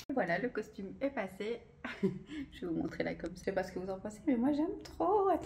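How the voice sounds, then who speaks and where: Fairly high-pitched woman with a dark, mellow tone, vocal fry, very wide pitch swings and a fairly quick pace. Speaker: belly dancer and vlogger. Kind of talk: casual vlog to camera. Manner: fast; hesitant, many fillers.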